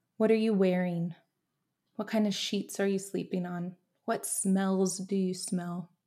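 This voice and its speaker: A woman speaks slowly in a medium pitch, her tone dark, mellow, and warm. Her intonation stays monotone and flat. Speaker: podcast host. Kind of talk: pep talk; guided visualization. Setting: home office. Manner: warm, encouraging, earnest.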